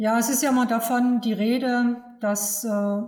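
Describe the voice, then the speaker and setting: A woman speaks at a very slow pace in a monotone, flat delivery. Her pitch is fairly high. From Saxony, eastern Germany. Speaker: agricultural fertilizer advisor. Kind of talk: expert interview.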